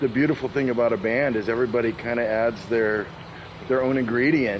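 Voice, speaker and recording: Medium-pitched male speech with an American accent, over noticeable background noise. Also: fairly even intonation, very even loudness. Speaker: blues musician and singer. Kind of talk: interview. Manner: halting, repeats words.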